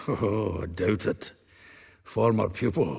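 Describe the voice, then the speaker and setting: Putting on a character voice, a man talks in a raspy, fairly low pitch at a fairly slow pace. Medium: video game. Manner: jovial, laughing.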